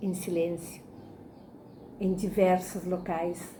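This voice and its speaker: A woman speaks very slowly in a fairly low, somewhat breathy voice. Audible room echo surrounds her. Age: 60s. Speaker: spiritist lecturer. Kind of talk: religious lecture. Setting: online talk.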